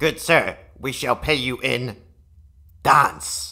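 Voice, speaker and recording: Using a put-on character voice, a man talks at a very slow pace, raspy and fairly high in pitch. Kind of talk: comedy machinima dialogue.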